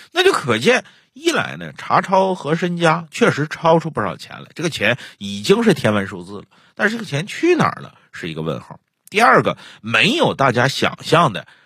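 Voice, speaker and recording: Big swings in loudness at a moderate pace on a very clean recording with a silent background. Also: man. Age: 40s. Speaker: storyteller podcast host. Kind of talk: casual chat; storytelling narration.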